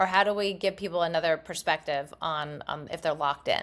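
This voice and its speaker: A woman with an American accent and an unremarkable speaking voice, fairly low in pitch, ordinary pitch variation, a moderate pace, on a very clean recording with a silent background. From US South, Mobile, Alabama. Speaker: podcast co-host, daughter-in-law. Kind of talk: casual chat.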